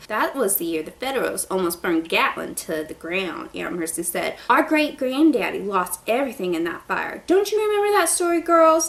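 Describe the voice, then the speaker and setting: A woman with a Southern US accent speaks at a high pitch and a moderate pace, with hardly any pauses. Her pitch swings very widely over noticeable background noise. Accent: Southern twang. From Southern United States. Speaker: book reviewer. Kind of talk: read story.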